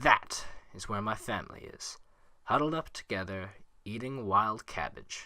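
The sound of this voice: An unforced reading voice carries the whole clip.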